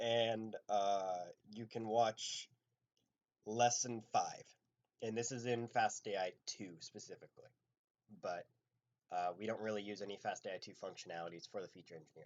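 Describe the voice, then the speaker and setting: A man speaks quietly at a moderate pace, with long, frequent pauses and big swings in loudness. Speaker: machine learning instructor. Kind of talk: live coding lecture. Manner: casual with many fillers.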